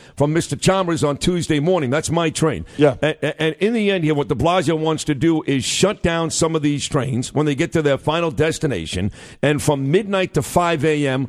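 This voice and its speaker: In an American accent, a man with an ordinary speaking voice talks at a moderate pace, with a fairly high pitch and ordinary pitch variation. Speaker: radio host. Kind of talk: live talk radio show. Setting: radio studio.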